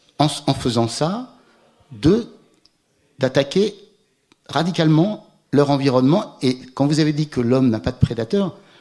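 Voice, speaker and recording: Speaking fairly slowly, a man leaves long, frequent pauses. His voice is fairly high, with a dark, mellow tone. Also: lively intonation. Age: 60s. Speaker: climate scientist. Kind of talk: Q&A after a public lecture. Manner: hesitant, many repetitions.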